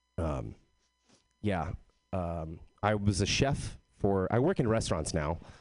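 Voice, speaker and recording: With an American accent, a man speaks at a fairly slow pace in a very deep, low voice with vocal fry, lively intonation, and long, frequent pauses. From Texas. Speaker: comedian. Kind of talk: stand-up.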